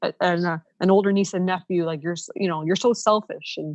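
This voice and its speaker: A woman with a Canadian accent speaks at a moderate pace in a fairly low pitch, her intonation fairly even and the sound dry and close with no echo. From Ontario, Canada (Niagara). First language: Ukrainian. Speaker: professional organizer, former teacher. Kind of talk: podcast interview. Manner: casual, many fillers.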